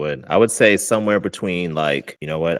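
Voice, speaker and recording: Fairly quick speech from a man, very deep and low in pitch, with vocal fry and ordinary pitch variation. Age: 30s. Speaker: podcast host. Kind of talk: casual chat. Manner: halting.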